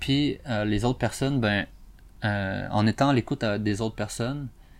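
A fairly low-pitched man with a Quebec accent, speaking at a fairly slow pace in a very clean recording with a silent background. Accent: Québécois French. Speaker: podcast host. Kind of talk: solo educational monologue. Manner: hesitant, many fillers.

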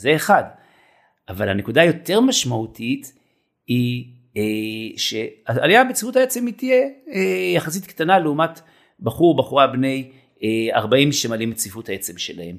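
A man's medium-pitched speech at a moderate pace, with very wide pitch swings and long, frequent pauses. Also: big swings in loudness. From Israel, kibbutz. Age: 50s. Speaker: fitness trainer. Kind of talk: casual interview. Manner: hesitant fillers.

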